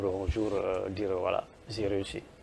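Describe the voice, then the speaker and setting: Speaking at a fairly slow pace, a man talks with a Senegalese accent. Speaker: football coach. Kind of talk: interview. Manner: repetitive, stammering restarts.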